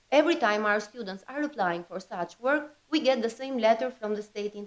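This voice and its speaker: Here a woman speaks with lively intonation. Her pitch is fairly high, and her pace fairly quick. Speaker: higher education representative. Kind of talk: conference presentation. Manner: loud.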